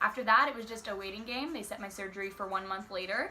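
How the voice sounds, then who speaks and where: A woman's medium-pitched voice with noticeable background noise. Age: young. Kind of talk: casual talk to camera.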